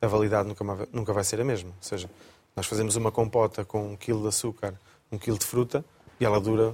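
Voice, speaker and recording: Somewhat breathy speech runs at a very fast pace in a monotone, flat intonation. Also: man. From Coimbra, Portugal. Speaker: chef. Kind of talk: casual chat. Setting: studio.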